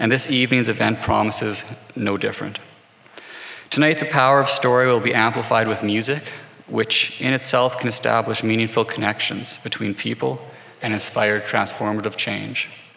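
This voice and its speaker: A soft-spoken man talks at medium pitch and a moderate pace over noticeable background noise. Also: ordinary pitch variation. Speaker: corporate executive giving sponsor greetings. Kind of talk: prepared speech. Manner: formal. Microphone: microphone had problems before, now working.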